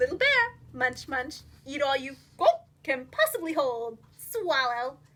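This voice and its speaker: A woman puts on a character voice, pitched high. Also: fairly slow pace. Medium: read story. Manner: practical, motherly.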